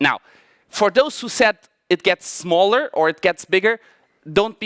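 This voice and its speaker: Recorded with a dry, close sound and no echo, a man with a non-native accent speaks at a moderate pace with ordinary pitch variation. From Portugal and Germany. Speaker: mathematician giving a talk. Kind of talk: conference talk. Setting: stage with audience. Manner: halting, many fillers and restarts.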